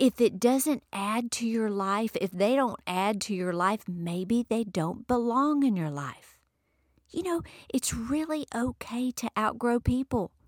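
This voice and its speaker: A woman with a fairly high voice speaks at a fairly slow pace, her warm, animated tone carried by lively intonation. The sound is dry and close, with no echo. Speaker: podcast host, motivational speaker. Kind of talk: motivational monologue. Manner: warm, encouraging, animated.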